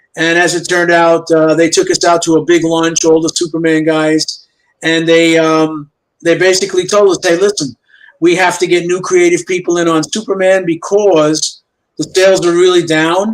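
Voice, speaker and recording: A man speaks in a high, flat monotone at a moderate pace. His loudness stays very even throughout. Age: 70s. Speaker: comic book artist. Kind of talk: casual chat.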